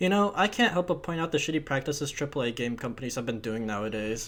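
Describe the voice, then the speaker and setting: A man's fairly high-pitched voice at a very fast pace, with music in the background. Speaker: video game reviewer. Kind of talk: game review voiceover. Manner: casual, sarcastic.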